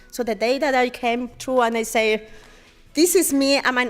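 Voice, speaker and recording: A woman with a Spanish accent speaks at a high pitch with fairly even intonation. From Mexico. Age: 30s. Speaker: artist. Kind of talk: interview. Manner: loud.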